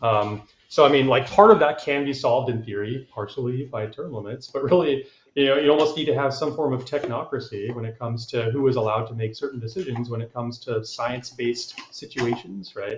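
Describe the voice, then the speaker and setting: A man talks at a fairly quick pace in a somewhat breathy voice of medium pitch. His loudness swings widely, and his pitch varies in an ordinary way. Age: 30s. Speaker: congressional candidate. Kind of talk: panel discussion. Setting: live stream.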